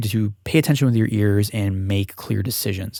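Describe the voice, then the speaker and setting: On a very clean recording with a silent background, a man's voice sounds dry and close, with no echo. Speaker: audio engineer, mixing tutorial maker. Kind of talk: tutorial. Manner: fast; casual, halting with self-corrections.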